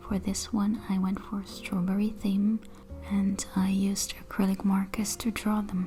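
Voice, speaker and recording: Over music in the background, a woman with a non-native accent talks at a fairly slow pace in a medium pitch, her intonation monotone and flat. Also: very even loudness. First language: not English. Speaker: artist. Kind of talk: sketchbook tour narration.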